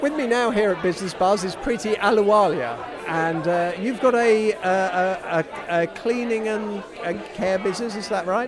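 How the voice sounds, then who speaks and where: A man with a British accent speaks at a moderate pace in a high voice, his pitch rising and falling in the usual way, with crowd noise behind him. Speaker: radio presenter. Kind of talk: interview. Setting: busy networking event venue. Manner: friendly, conversational.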